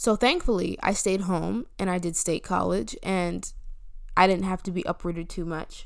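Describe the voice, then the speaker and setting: With an American accent and some vocal fry, a woman speaks at a medium pitch and moderate pace, showing ordinary pitch variation. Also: very clean recording, silent background. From US Northeast, New Jersey. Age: 20s. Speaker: podcast host and college student. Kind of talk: casual solo monologue. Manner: rambling, frequent fillers and restarts.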